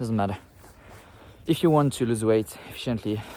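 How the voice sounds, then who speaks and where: A man with a non-native accent, amid noticeable background noise. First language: not English. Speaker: fitness content creator. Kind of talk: casual vlog talk to camera. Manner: halting, with fillers.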